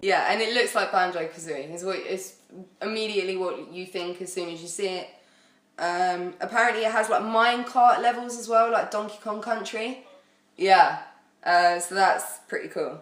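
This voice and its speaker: A woman with a British accent speaks at a moderate pace, showing ordinary pitch variation and big swings in loudness. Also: medium pitch for a woman. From United Kingdom. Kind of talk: casual podcast chat about video games.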